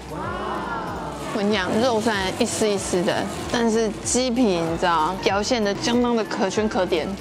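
Fairly slow speech from a woman, clear music playing behind her. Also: ordinary pitch variation. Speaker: food vlogger. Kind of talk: casual vlog chat. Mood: playful, teasing. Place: cafe.

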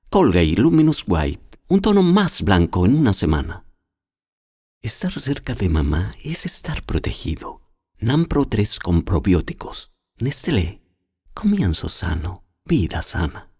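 This man has a dark, mellow, somewhat breathy voice at a fairly low pitch, swinging very widely in pitch. He talks at a very slow pace on a very clean recording with a silent background. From Chile. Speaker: voice actor. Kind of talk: TV commercial read.

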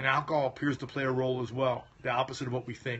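A man is talking here. His pace is very fast. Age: 50s. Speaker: chiropractic health doctor. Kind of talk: live stream Q&A. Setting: phone livestream. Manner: casual. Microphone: phone near.

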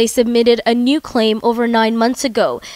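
Her voice sits fairly high in pitch. This woman talks at a moderate pace. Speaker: TV show host. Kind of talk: TV interview and scripted narration. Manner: formal.

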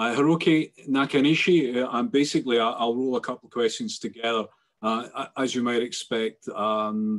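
The background is quiet as a man speaks. He moves at a fairly quick pace with ordinary pitch variation. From Scotland. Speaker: webinar moderator. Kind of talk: panel discussion moderation. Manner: halting. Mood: calm, thoughtful. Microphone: video call.

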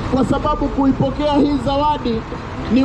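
Against crowd noise in the background, a man talks at a moderate pace. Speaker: street preacher. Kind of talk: sermon. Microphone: camera far.

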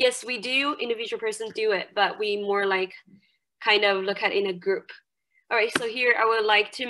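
A woman's bright, sharp tone at a moderate pace against a quiet background. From China, Jiangxi province. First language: Mandarin Chinese. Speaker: university English lecturer. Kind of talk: lecture. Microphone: webcam.

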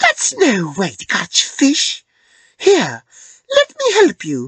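Someone puts on a character voice, pitched high and delivered at a very slow pace.

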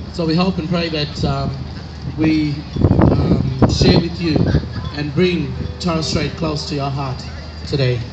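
A man speaks at a fairly slow pace. Loud background noise runs throughout. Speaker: choir spokesperson. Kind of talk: formal stage introduction. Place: stage.

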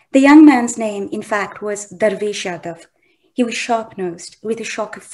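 Plain reading aloud with ordinary pitch variation is heard over a quiet background.

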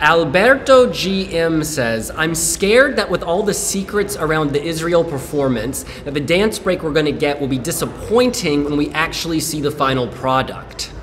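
A man talking with hardly any pauses over music in the background. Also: moderate pace. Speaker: livestream host. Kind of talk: casual chat. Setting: indoor venue livestream. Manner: excitable. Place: shop. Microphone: phone near.

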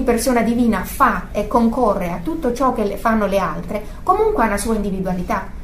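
Fairly quick speech from a woman with a fairly high pitch, over noticeable background noise. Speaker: religious teacher. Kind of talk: religious teaching. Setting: group gathering. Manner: halting.

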